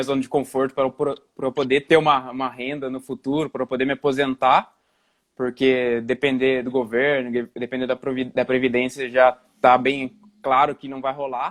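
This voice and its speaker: A man is talking. His pitch is medium and his pace moderate. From Brazil, interior of São Paulo state. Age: 20s. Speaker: investment YouTuber. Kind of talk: casual livestream conversation. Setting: live stream video call. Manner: halting, many restarts.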